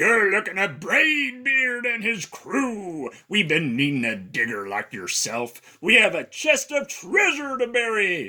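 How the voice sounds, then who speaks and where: A put-on character voice from a man, high-pitched and at a fairly slow pace. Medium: read story. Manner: loud, gruff pirate talk.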